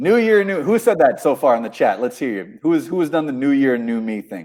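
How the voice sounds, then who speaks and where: Speaking at a fairly quick pace with an American accent, a man uses a fairly high pitch that swings very widely. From US, New York. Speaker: livestream host and author. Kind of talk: live stream chat. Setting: live video broadcast. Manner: animated.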